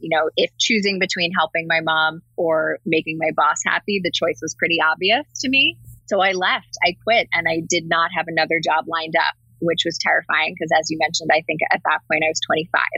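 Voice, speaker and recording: Speaking at a fairly quick pace with fairly even intonation, a woman with an American accent has a fairly low voice, recorded dry and close with no echo while music plays in the background. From New Jersey. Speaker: marketing lead. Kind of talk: interview.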